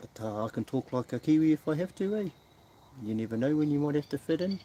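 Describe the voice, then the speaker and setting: A man talks very fast in a fairly high voice with lively intonation and a dark, mellow tone. The sound is dry and close, with no echo. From New Zealand. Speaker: live streamer. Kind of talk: casual live-stream chat.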